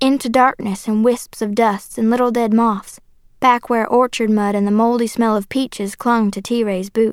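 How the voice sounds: The intonation holds fairly even. It is a natural reading voice.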